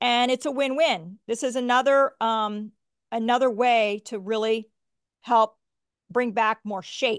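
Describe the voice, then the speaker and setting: Against a quiet background, a woman with an American accent uses a normal speaking voice, fairly high in pitch, at a fairly slow pace with fairly even intonation. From United States. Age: 50s. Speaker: physician and product maker. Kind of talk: casual chat and tutorial. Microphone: video call.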